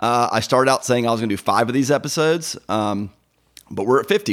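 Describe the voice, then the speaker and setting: The pitch swings very widely. The pace is fairly quick. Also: man, very clean recording, silent background. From US South, Georgia. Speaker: podcast host, lawyer. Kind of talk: casual interview chat. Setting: at the guest's home. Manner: fast.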